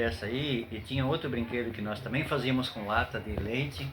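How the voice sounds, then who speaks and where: Recorded with audible room echo and noticeable background noise, a man speaks at a medium pitch with ordinary pitch variation. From southern Brazil, Joinville (Santa Catarina). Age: 60s. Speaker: grandfather interviewed by grandson. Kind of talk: interview. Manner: hesitant, many fillers.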